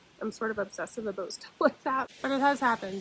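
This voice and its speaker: This woman has a fairly high pitch. She speaks with a slight Nova Scotian accent. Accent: Nova Scotian, slight, shows on a few words. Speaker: furniture refinisher. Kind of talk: tutorial. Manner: casual.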